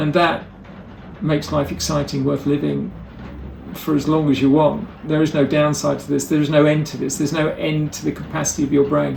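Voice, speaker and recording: A man is speaking at a fairly quick pace. Noticeable background noise can be heard. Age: 60s. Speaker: motivational speaker and educator. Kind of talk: presentation talk.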